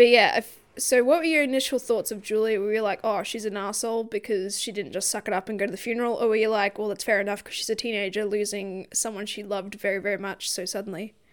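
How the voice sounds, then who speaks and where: This woman talks very fast with hardly any pauses. Her pitch is fairly high and her intonation fairly even. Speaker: book podcast co-host. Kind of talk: casual book discussion. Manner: laughs often.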